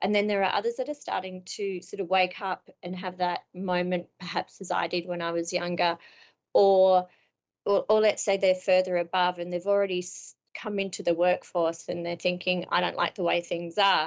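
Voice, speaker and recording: Speaking at a moderate pace in an Australian accent, a woman keeps a medium pitch and a monotone, flat intonation. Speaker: business strategy consultant and author. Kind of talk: interview.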